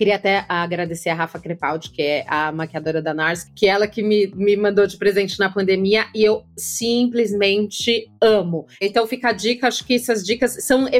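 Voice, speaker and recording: A woman with a normal speaking voice, medium pitch and ordinary pitch variation, at a moderate pace with hardly any pauses. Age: 40s. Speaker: podcast host and content creator. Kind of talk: casual interview chat.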